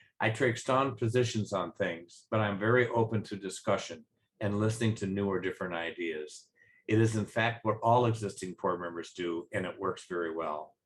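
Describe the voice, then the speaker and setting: With ordinary pitch variation, the delivery proceeds at a moderate pace. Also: man, fairly low pitch for a man. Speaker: HOA board candidate. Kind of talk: campaign statement. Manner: plain and direct.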